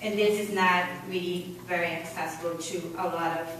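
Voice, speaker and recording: The speech has fairly even intonation, with noticeable background noise and audible room echo. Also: woman. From Brazil. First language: Portuguese. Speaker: public commenter. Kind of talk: public comment. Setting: public meeting.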